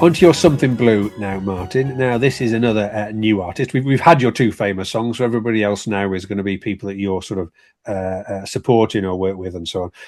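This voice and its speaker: A man talks at a very fast pace, with hardly any pauses, a fairly low pitch and ordinary pitch variation. The recording is very clean, with a silent background. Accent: Durham. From Durham, England. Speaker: radio-style show host. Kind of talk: casual interview talk.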